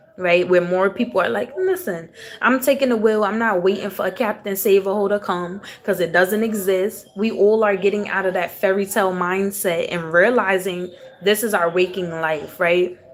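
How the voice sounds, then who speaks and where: A woman at a medium pitch, fairly even in intonation and moderate in pace, over noticeable background noise. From US South, raised in Houston, Texas. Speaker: tarot reader. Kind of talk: live-stream tarot reading, casual spiritual talk. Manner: casual, conversational.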